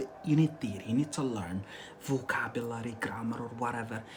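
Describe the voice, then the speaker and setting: A fairly quick pace and animated tone against noticeable background noise. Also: man. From Algeria. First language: Arabic. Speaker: English teacher. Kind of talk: live-stream language lesson. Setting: live stream. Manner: animated, repetitive.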